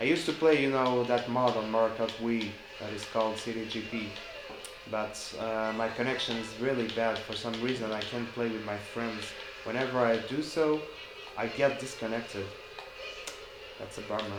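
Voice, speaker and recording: A man talks at a moderate pace with fairly even intonation and long, frequent pauses. Music plays in the background, and there is audible room echo. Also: medium pitch for a man. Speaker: gaming YouTuber. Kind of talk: casual gameplay commentary. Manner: halting, self-correcting.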